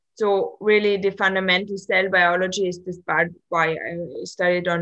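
Her medium-pitched voice moves at a moderate pace, and the woman keeps her intonation fairly even. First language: German. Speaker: postdoc researcher physicist. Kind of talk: interview conversation. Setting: video call. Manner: hesitant, disfluent.

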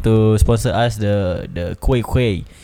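A man talks at a very slow pace, with noticeable background noise and audible room echo in the recording. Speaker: podcast host. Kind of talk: casual chat.

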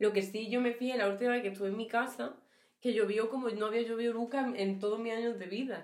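A woman speaks very fast in an Andalusian accent, her pitch fairly high. Her intonation stays flat and monotone, and the room echo is audible. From Andalusia, Huelva (Rociana del Condado). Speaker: podcast co-host. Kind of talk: casual chat.

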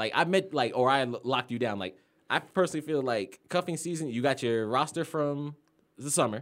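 Showing a normal speaking voice, a man speaks at a fairly quick pace with a fairly high pitch and ordinary pitch variation. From Florida. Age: 20s. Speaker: podcast guest. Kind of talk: casual chat.

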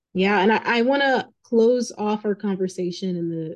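A woman speaks in a plain, everyday voice. Her pitch varies in an ordinary way. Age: young. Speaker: podcast host. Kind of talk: interview.

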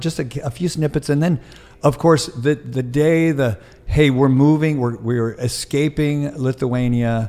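The man's tone is animated, with ordinary pitch variation. His pitch sits fairly high. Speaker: podcast host and keynote speaker. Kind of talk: interview. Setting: studio.

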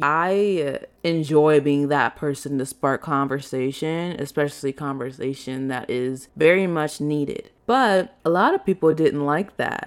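Here is a woman with an American accent and a very deep, low pitch. She talks at a fairly slow pace. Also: very clean recording, silent background. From US Midwest, Chicago. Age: 20s. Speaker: content creator, podcast host. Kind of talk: solo casual monologue. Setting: solo podcast recording. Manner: animated.

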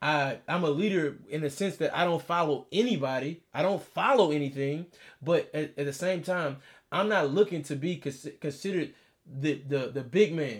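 In a Texan accent, a man speaks at a moderate pace with an animated tone, a fairly high pitch, and ordinary pitch variation. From Texas, Beaumont area. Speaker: podcast co-host. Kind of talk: casual chat.

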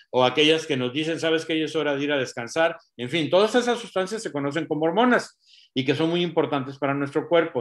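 A man's fairly high voice at a very fast pace, over a quiet background. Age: 60s. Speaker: doctor giving health talk. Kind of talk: health talk.

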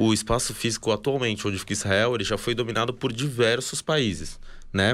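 This is a man with a normal speaking voice at medium pitch. He talks at a fairly quick pace with fairly even intonation in a very clean recording with a silent background. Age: 20s. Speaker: army reservist, former combat soldier. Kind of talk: interview, explanatory talk.

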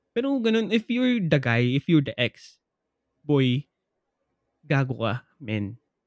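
With lively intonation and a fairly high pitch, a man talks at a fairly slow pace in a dry, close sound with no echo. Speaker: podcast co-host. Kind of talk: casual chat.

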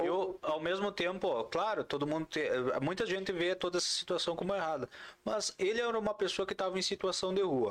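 A man with a high pitch and ordinary pitch variation talks at a fairly quick pace, his loudness very even. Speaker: podcast host. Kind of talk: casual chat. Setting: studio. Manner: animated.

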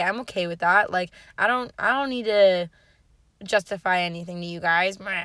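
In a very clean recording with a silent background, a woman speaks at a moderate pace with a bright, sharp tone. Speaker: podcast host. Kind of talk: casual solo monologue. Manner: loud; animated.

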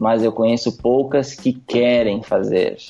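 Music plays behind a man speaking at a medium pitch. His pace is fairly slow, with ordinary pitch variation. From Rio Grande do Sul, Brazil (interior town). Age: 20s. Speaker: wedding photographer. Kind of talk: podcast interview.

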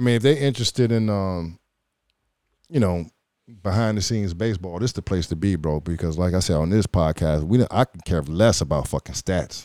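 A man with an American accent speaks at a fairly quick pace in a very deep, low voice with a dark, mellow tone, captured in a very clean recording with a silent background and a dry, close sound with no echo. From Chicago, Illinois. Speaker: retired pro baseball player, podcast host. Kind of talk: casual chat. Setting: on camera.

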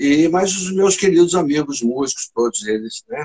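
A man with an unremarkable speaking voice talks at a fairly slow pace with ordinary pitch variation, recorded dry and close with no echo. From Brazil, São Paulo state interior. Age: 60s. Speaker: saxophonist and flutist. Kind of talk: casual chat. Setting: live stream.

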